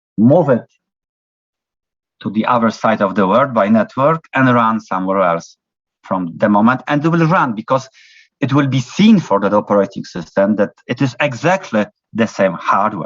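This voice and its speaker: With a non-native accent, a man speaks at medium pitch and with lively intonation. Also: moderate pace. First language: not English. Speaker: university lecturer. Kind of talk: lecture. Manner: halting, many fillers.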